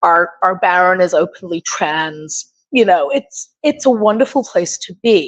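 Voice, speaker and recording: Against a quiet background with a dry, close sound and no echo, a woman with an English accent speaks at medium pitch and a fairly slow pace, with hardly any pauses and lively intonation. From England. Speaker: open forum participant, historical reenactment society member. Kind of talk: open forum discussion.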